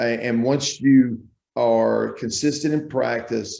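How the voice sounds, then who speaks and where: The voice belongs to a man. It sits at a medium pitch. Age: 60s. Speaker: basketball coach. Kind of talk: interview. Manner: energetic.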